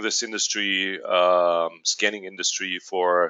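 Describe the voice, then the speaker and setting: A man with a German accent, at a fairly slow pace. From Germany. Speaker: company executive. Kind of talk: webinar presentation. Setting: online webinar. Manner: hesitant, many fillers.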